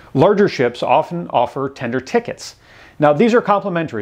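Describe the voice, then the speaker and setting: A man talks at a fairly quick pace, with a quiet background. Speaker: travel channel host. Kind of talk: tutorial. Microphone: lapel.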